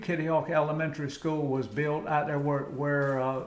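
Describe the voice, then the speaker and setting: Over noticeable background noise and audible room echo, a man with a fairly high voice speaks at a fairly slow pace. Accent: American. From US South, Outer Banks of North Carolina. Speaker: Vietnam veteran and commercial fisherman. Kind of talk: interview. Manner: halting.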